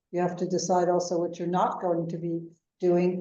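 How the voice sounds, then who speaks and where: A woman with an American accent has a dark, mellow tone. Room echo can be heard. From United States. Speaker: venture capital investor. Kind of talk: interview.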